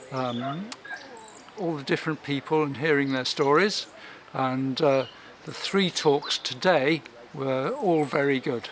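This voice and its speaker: A man's fairly high voice with an English accent, at a fairly slow pace with long, frequent pauses and ordinary pitch variation, over noticeable background noise. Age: 60s. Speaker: doctor. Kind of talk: testimonial interview.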